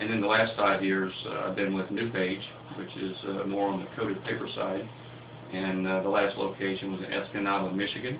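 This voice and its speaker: In a Southern US accent, a man with a fairly low pitch speaks at a fairly quick pace in a monotone, flat delivery, with audible room echo and noticeable background noise. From US South, Lower Alabama. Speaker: pulp mill CEO. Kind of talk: radio interview.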